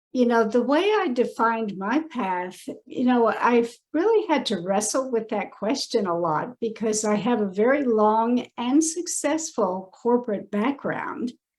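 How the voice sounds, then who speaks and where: A woman speaks in a normal speaking voice at a fairly high pitch, with lively intonation and a fairly slow pace, hardly pausing at all. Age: 60s. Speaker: personal branding consultant. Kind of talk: podcast interview.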